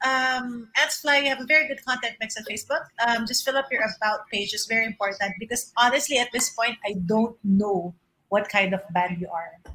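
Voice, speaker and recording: Her bright, sharp tone and fairly high pitch carry ordinary pitch variation as this woman talks at a fairly quick pace. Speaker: music review show co-host. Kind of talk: casual chat. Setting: video call over internet.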